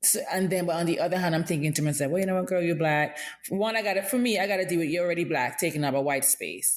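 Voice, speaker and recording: A woman with a Caribbean accent speaks at a very fast pace and a fairly low pitch. Her loudness stays very even, with ordinary pitch variation. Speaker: podcast host. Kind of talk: casual chat.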